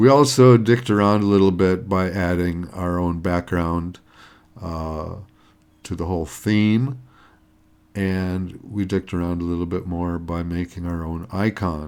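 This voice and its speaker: Very deep and low in pitch, a man speaks at a fairly slow pace with ordinary pitch variation. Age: 60s. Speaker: retired hobbyist app-learning vlogger. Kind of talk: screen-recorded tutorial vlog. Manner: casual, hesitant with fillers.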